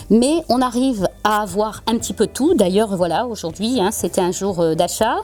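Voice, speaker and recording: With a southern French accent, a woman talks at a moderate pace in a fairly high pitch, her pitch varying in an ordinary way. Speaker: florist. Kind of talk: interview answer.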